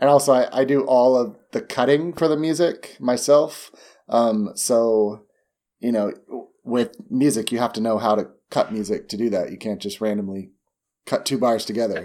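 A man with a normal speaking voice at medium pitch and a moderate pace, ordinary pitch variation, in a very clean recording with a silent background. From US, moved often (Arizona, LA, Indiana). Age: 30s. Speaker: dance teacher and choreographer. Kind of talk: casual chat.

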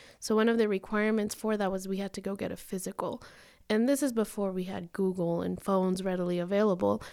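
In a very clean recording with a silent background, a woman with a Spanish accent talks very fast at medium pitch, her tone dark and mellow and her intonation fairly even. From Denver, Colorado (born in Mexico). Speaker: attorney. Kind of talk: interview.

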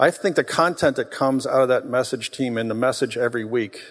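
An ordinary speaking voice from a man, at medium pitch with ordinary pitch variation. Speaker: church co-founder speaking to congregation. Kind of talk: sermon. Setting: church.

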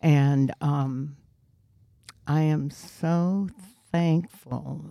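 A woman talks in a very deep, low voice with a dark, mellow tone and monotone, flat intonation. The sound is dry and close, with no echo. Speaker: guest married over sixty years. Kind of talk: casual interview chat.

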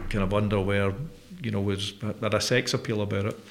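A man with a Glaswegian accent rattles off his words at a very fast pace in a fairly low, monotone, flat voice. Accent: Glaswegian Scottish. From Scotland (Glasgow). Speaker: company chief executive hosting interview. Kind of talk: interview conversation. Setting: studio.

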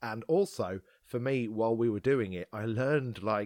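A man's fairly low voice, a normal speaking voice, with ordinary pitch variation and a moderate pace, in a very clean recording with a silent background. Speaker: podcast host. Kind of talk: casual chat.

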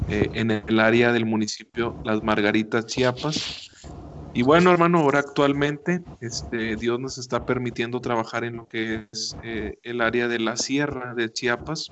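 At a fairly slow pace comes an ordinary speaking voice. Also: man, medium pitch for a man, ordinary pitch variation. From northern Mexico, Monterrey. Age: 20s. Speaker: missionary pastor. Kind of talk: radio interview.

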